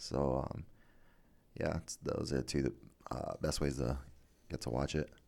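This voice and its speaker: A man with a very deep, low pitch, vocal fry and a dark, mellow tone. He talks at a fairly slow pace with fairly even intonation and long, frequent pauses. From Guam. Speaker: MMA fighter. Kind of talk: casual interview. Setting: studio.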